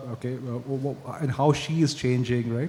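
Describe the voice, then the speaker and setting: A man's fairly even intonation comes through against noticeable background noise. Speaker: advertising strategy executive. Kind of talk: panel discussion.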